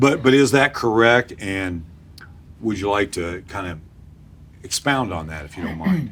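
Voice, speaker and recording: Fairly low in pitch, a man speaks fairly slowly with lively intonation, long, frequent pauses and big swings in loudness. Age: 60s. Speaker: interviewer. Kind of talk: candidate interview.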